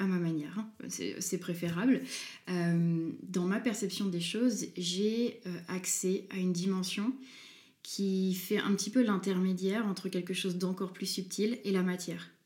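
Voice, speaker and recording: A woman speaks at a fairly slow pace in a medium pitch, her dark, mellow tone somewhat breathy and her intonation fairly even. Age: 20s. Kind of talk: interview. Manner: hesitant.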